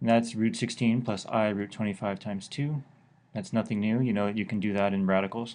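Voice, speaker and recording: A man's fairly low voice with fairly even intonation over a quiet background. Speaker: math teacher. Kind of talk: lecture.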